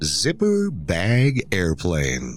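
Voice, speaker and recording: Music plays in the background as a man speaks. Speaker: podcast host; musician and podcast host. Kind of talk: scripted narration, reading aloud.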